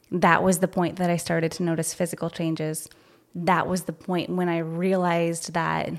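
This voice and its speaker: A woman with a fairly low pitch speaks in a flat monotone at a moderate pace on a very clean recording with a silent background. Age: 40s. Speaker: personal trainer and nutrition coach. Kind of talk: casual chat.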